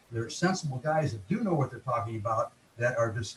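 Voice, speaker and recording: Lively intonation over noticeable background noise. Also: man. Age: 70s. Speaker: veteran bodybuilder. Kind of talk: interview conversation. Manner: halting, many fillers.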